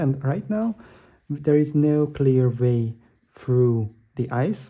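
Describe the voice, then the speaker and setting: At a very slow pace, a man speaks in a medium pitch with a dark, mellow tone that is somewhat breathy. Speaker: board game youtuber. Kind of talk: gameplay tutorial. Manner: hesitant with fillers.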